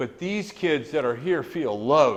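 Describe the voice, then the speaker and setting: In an American accent, a man talks at a fairly slow pace with a fairly high pitch and vocal fry. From northern Idaho. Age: 70s. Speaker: business leader and community philanthropist. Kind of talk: luncheon speech. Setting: business luncheon. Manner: impassioned.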